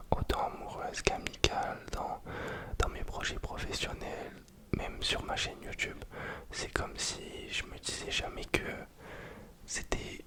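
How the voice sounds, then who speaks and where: A man whispers at a fairly slow pace amid noticeable background noise. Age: 20s. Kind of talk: ASMR casual rambling talk. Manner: relaxed, hesitant, casual.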